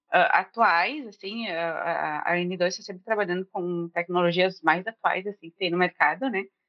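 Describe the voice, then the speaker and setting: A woman's plain, everyday voice at medium pitch, with ordinary pitch variation, a moderate pace and big swings in loudness. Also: hardly any pauses. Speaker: junior front-end developer, career changer. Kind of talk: casual chat.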